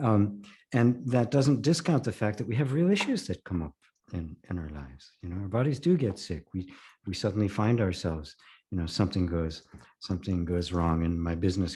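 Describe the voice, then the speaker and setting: Against a quiet background, a somewhat breathy voice with a dark, mellow tone moves at a moderate pace through very wide pitch swings. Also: man. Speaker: spiritual teacher; former voice-over artist. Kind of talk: interview answer.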